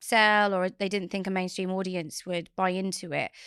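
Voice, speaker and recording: With an Essex accent, a woman speaks at medium pitch on a very clean recording with a silent background. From Essex, England. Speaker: author and company founder. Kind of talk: podcast interview.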